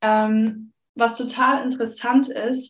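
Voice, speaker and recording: This woman's voice sits at a fairly high pitch. Her intonation is monotone and flat. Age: 30s. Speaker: pastor. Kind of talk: casual chat.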